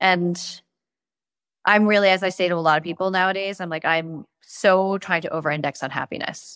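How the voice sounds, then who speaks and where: A normal speaking voice from a woman, medium in pitch with fairly even intonation. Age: 40s. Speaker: investor and startup founder. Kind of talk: casual chat.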